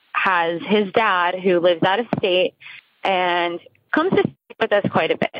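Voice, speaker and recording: In an American accent, a woman with a normal speaking voice talks at a fairly slow pace and a medium pitch. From New Jersey. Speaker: caller. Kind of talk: voicemail. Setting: phone call.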